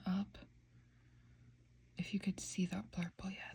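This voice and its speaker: A soft-spoken woman's voice, medium in pitch and somewhat breathy, with a dark, mellow tone and ordinary pitch variation. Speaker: nail polish reviewer. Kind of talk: casual ASMR talk to camera. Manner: soft-spoken, slow.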